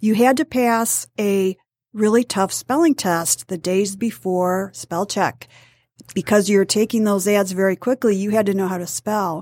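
A woman with an American accent in an ordinary speaking voice, medium pitch, ordinary pitch variation and a fairly slow pace, in a very clean recording with a silent background and a dry, close sound with no echo. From Metro Detroit, Michigan. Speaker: newspaper reporter and author. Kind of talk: casual interview.

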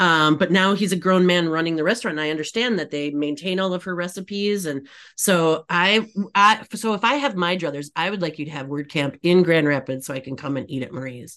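A woman with a plain, everyday voice and an American accent speaks at a fairly quick pace, her fairly low pitch showing ordinary variation against a quiet background. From Michigan, Upper Peninsula. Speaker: agency CEO and author. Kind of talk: casual interview chat.

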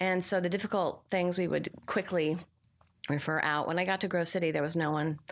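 Spoken in a normal speaking voice, the delivery has fairly even intonation and very even loudness. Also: woman, fairly low pitch for a woman, fairly quick pace. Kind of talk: interview. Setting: live on-site at a conference.

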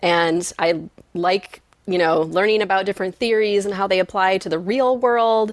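With an American accent, a woman talks at a moderate pace and a medium pitch in an unremarkable speaking voice. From Michigan. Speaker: psychology professor. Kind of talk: interview.

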